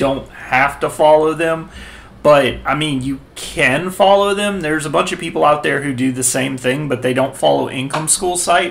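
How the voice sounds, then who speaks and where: The speaker is a man. He talks at a moderate pace with ordinary pitch variation. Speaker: website tutorial host. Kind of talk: tutorial. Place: home room.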